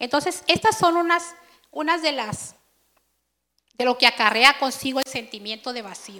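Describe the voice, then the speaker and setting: A woman with a high, bright, sharp voice speaks at a moderate pace in a raised, projected tone, her lively intonation marked by big swings in loudness and long, frequent pauses. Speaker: preacher. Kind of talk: sermon. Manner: conversational.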